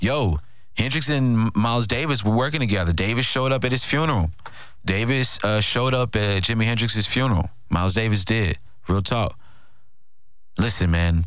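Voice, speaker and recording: An unremarkable speaking voice at a moderate pace, with ordinary pitch variation and very even loudness. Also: man, medium pitch for a man. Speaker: podcast host and radio co-host. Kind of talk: casual podcast monologue. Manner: casual, conversational, filler-heavy.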